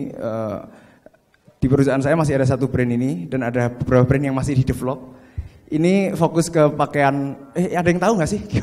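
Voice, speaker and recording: Against a quiet background, a man speaks at a fairly high pitch and a fairly quick pace. His pitch variation is ordinary. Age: 30s. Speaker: fashion business owner. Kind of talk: seminar talk. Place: hall. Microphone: handheld.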